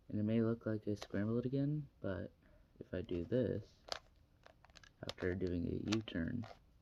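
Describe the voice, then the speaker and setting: A man's fairly low voice with a dark, mellow tone, ordinary pitch variation, a moderate pace and long, frequent pauses. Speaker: hobbyist cuber. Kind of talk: tutorial. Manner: trails off quietly at times; casual, halting.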